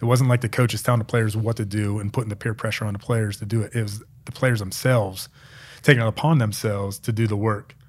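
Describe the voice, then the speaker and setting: A man with a fairly low, somewhat breathy voice and an American accent, very fast and monotone, on a very clean recording with a silent background. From central Pennsylvania, small town. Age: 30s. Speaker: former NFL long snapper. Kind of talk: casual interview.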